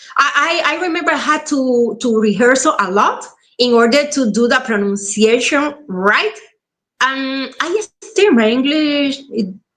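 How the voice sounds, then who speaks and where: Very slowly, a woman speaks in a high pitch with a Spanish accent. Her pitch swings very widely. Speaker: actress. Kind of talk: casual chat.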